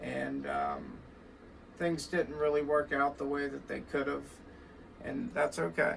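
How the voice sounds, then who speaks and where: Noticeable noise sits behind a man's voice. He talks at a fairly slow pace with long, frequent pauses. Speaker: record shop owner and guitar teacher. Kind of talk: casual vlog monologue. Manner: hesitant, many fillers.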